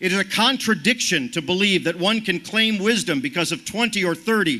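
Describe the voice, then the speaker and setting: Here a man speaks in a raised, projected voice with a bright, sharp tone. His pace is moderate and his pitch variation ordinary. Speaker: activist speaker. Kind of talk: rally speech.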